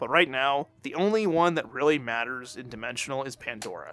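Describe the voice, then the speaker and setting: A man talks at a fairly quick pace, his pitch medium for a man. His tone is bright and sharp, with ordinary pitch variation. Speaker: gaming YouTuber. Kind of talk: casual game commentary. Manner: hesitant, many fillers.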